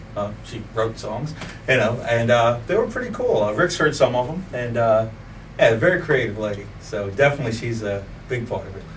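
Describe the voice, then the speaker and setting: A man at a moderate pace with big swings in loudness, amid audible room echo and noticeable background noise. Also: medium pitch for a man, ordinary pitch variation. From Virginia, Colonial Heights area. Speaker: musician, bass player and singer. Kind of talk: interview. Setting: studio.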